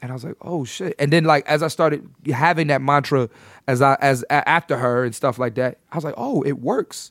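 A normal speaking voice from a man with an American accent, fairly high-pitched, with ordinary pitch variation at a fairly quick pace, in a very clean recording with a silent background and a dry, close sound with no echo. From Philadelphia, US. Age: 30s. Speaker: comedian. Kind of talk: casual chat.

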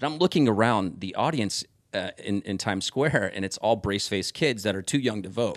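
With a Midwestern American accent, a man talks at a fairly quick pace. His pitch sits fairly low and his intonation is lively. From Omaha, Nebraska (South Omaha). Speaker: former TV music news presenter. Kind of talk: casual chat.

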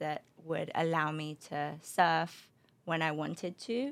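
In a London accent, a woman with a very deep, low voice speaks at a moderate pace with fairly even intonation, on a very clean recording with a silent background. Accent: British (London). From London, England (also Spain). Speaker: beverage company founder. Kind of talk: interview. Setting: studio.

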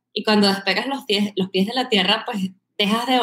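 A woman with a mid-range pitch talks at moderate speed, her pitch moving in a typical way. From Venezuela, Caracas. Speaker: marketing executive. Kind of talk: podcast interview.

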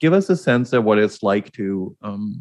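A man with an ordinary speaking voice talks at a fairly low pitch with lively intonation. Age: 60s. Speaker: podcast host and executive coach. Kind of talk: interview.

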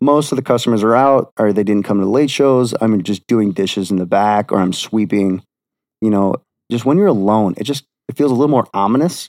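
A normal speaking voice from a man with an American accent, medium pitch, ordinary pitch variation and a fairly quick pace, dry and close with no echo. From Wisconsin. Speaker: podcast guest sharing paranormal experiences. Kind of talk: casual chat.

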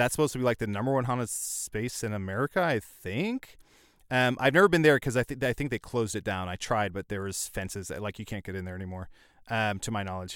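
At a very fast pace, a man speaks at medium pitch with ordinary pitch variation, recorded very cleanly with a silent background and a dry, close sound with no echo. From central Illinois. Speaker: comedian and podcast voice actor. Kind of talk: casual chat.

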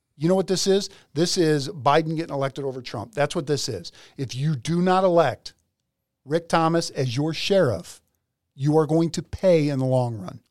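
An animated man with an American accent speaks at a moderate pace in a fairly high voice, his pitch varying in an ordinary way. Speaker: podcast host and police officer. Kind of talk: casual chat.

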